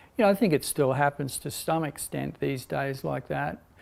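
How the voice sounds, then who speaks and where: The speaker talks at a moderate pace. They have an Australian accent. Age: 60s. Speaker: meditation and yoga teacher. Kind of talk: spiritual talk. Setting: online broadcast. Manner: hesitant, many fillers.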